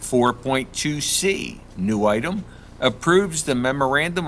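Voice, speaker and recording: A man at medium pitch, with very wide pitch swings and a fairly slow pace. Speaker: school board member chairing. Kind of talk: board meeting. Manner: soft-spoken; formal reading of resolutions. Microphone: speaking too far from the mic.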